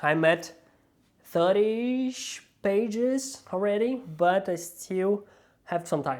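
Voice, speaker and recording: Very slow speech in a non-native accent, broken by long, frequent pauses. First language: not English. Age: adult with a nine-to-five job. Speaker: book vlogger. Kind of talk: casual vlog.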